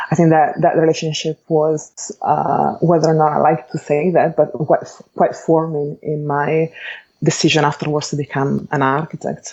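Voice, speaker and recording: A woman speaks in an Italian accent at a moderate pace. Her pitch is very deep and low, and her intonation is monotone and flat. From Italy, Bologna. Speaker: architect and educator. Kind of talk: interview. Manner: measured, with frequent hesitations.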